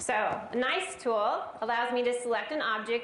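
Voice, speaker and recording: A high-pitched woman's voice with an American accent, audible room echo and noticeable background noise. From US West Coast, Los Angeles area. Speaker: software trainer presenter. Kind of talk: live tech presentation. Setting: stage with audience. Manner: animated.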